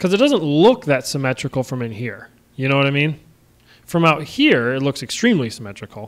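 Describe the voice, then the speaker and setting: Here a man speaks with lively intonation at a fairly high pitch. His pace is fairly quick. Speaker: indie game developer streaming. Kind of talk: casual live stream chat. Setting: live stream with call. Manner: loud.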